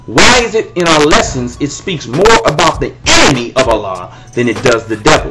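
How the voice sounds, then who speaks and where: This man talks in an animated tone at a moderate pace. Noticeable background noise is present. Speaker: religious commentator. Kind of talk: video monologue responding to critics.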